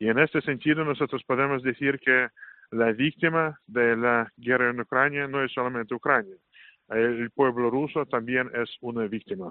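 Fairly even intonation at a moderate pace, in a Russian accent. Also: man, medium pitch for a man. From Russia, Saint Petersburg. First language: Russian (speaking Spanish). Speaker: Orthodox priest. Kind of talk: interview. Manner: halting, many fillers.

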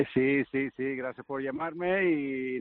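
The intonation is monotone and flat. It comes with a Canarian accent. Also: man. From Canary Islands (Gran Canaria). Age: 50s. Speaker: professional golfer. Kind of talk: casual interview.

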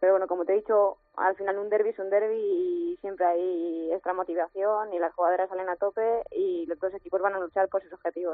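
A woman speaks at a medium pitch with fairly even intonation and hardly any pauses. Music plays in the background. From Madrid, Spain. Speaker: footballer. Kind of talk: phone interview. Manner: hesitant, many fillers.

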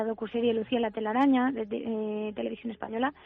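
This is a woman with an ordinary speaking voice. Her pitch sits fairly high and her intonation stays fairly even. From Spain, Alicante. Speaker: singer. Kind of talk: interview.

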